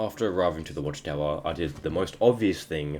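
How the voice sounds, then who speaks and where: A man talks at a fairly quick pace in a very deep, low pitch. His pitch varies in an ordinary way. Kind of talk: gameplay voiceover narration. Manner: stuttering.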